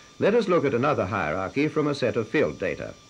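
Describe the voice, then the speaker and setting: Over noticeable background noise, a man with a medium-pitched voice speaks at a fairly quick pace, his pitch swinging very widely. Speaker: film narrator. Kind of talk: scripted educational film narration. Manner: formal, measured, authoritative.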